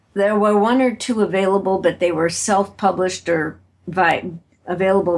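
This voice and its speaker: Vocal fry colors this American-accented voice. The pace is moderate and the pitch varies in an ordinary way. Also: woman. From US Midwest, Chicago. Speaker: author and keynote speaker. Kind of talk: interview.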